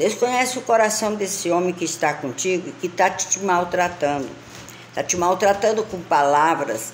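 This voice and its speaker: Over noticeable background noise, a woman with a medium pitch talks at a moderate pace with lively intonation. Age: 60s. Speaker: lifestyle vlogger. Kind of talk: casual monologue.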